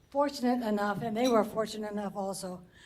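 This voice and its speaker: Her pitch shows ordinary variation as this woman talks. The room echo is audible. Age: 80s+. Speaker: award recipient. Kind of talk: acceptance speech.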